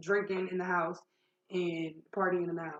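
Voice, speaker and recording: A woman's medium-pitched voice at a very fast pace. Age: 20s. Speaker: vlogger sharing life story. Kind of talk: personal testimony. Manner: loud; talkative, casual.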